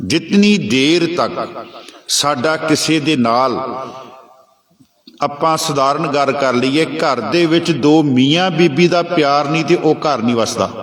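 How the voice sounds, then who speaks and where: A Punjabi accent, ordinary pitch variation, very even loudness and audible echo from the room. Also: man, fairly high pitch for a man. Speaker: Sikh preacher. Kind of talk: sermon.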